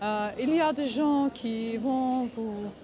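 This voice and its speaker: Speaking at a very slow pace, a woman with a non-native accent uses lively intonation at a high pitch. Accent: foreign accent in French. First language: not French (speaking French). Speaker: vlogger. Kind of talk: casual vlog monologue. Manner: halting, many hesitations.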